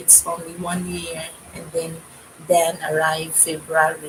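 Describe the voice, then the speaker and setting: Over noticeable background noise, a woman speaks with a fairly low pitch. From Philippines. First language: Filipino language (Tagalog/Cebuano). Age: 50s. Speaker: YouTube vlogger. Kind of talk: casual livestream chat. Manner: halting.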